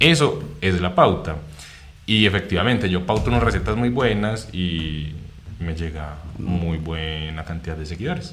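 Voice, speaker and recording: Amid noticeable background noise and audible room echo, a man with a very deep, low pitch speaks at a fairly slow pace with lively intonation. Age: 20s. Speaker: content creator. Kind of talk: casual interview chat.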